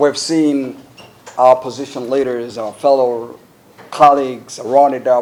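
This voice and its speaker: With an American accent, a man talks in a flat monotone at a medium pitch and a fairly slow pace, with noticeable background noise behind him. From Uganda. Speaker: member of parliament. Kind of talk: public address recounting events.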